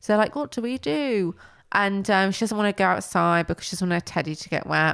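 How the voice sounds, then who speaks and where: In a very clean recording with a silent background, a woman with an unremarkable speaking voice talks at a medium pitch and fairly quick pace with lively intonation. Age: 20s. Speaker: podcast co-host. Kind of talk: casual chat. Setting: at home, recording late at night.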